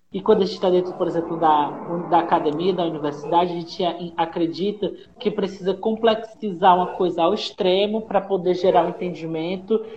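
Noticeable background noise runs under speech that moves fairly quickly. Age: 30s. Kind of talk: discussion panel.

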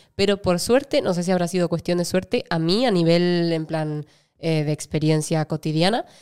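Here a woman uses an unremarkable speaking voice, fairly low in pitch with ordinary variation. She keeps a moderate pace on a very clean recording with a silent background. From Argentina. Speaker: actress. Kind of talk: casual interview.

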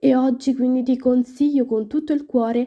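A woman with a high voice talks at a moderate pace. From Rome, Italy. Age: 20s. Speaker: student podcast host. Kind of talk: storytelling to listeners.

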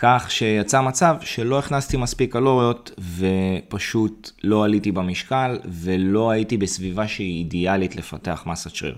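In an ordinary speaking voice, a man talks at a fairly slow pace and fairly low pitch, with ordinary pitch variation and hardly any pauses. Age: 30s. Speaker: fitness coach. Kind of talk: podcast monologue tutorial.

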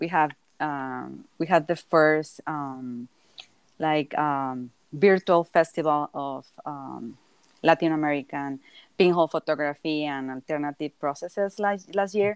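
A woman speaks in a very deep, low pitch with a Mexican accent. The sound is dry and close, with no echo. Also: ordinary pitch variation, very clean recording, silent background. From southern Mexico. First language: Spanish. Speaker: multidisciplinary artist. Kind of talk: casual interview.

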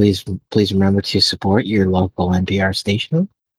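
Putting on a robotic character voice, a soft-spoken man talks at a moderate pace and a fairly low pitch. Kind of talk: flat, announcement-like. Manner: soft, robotic, announcing.

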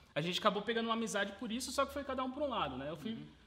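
A man's high-pitched, raised and projected voice, bright and sharp in tone, with lively intonation. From Brazil, Sorocaba (São Paulo state). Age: 20s. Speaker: burger restaurant owner, entrepreneur. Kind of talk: casual interview.

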